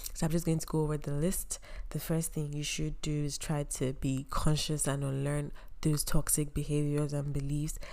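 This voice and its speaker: Woman's very deep, low voice with a dark, mellow tone, monotone, flat intonation, moderate pace and audible room echo. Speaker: podcast host, university student. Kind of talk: casual solo podcast monologue.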